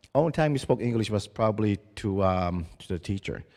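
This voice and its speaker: A dark, mellow tone at a moderate pace. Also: man. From Mi'kmaq reserve community, Atlantic Canada. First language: Mi'kmaq. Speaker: First Nations community leader and education chairman. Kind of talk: conference presentation. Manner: halting, with frequent restarts.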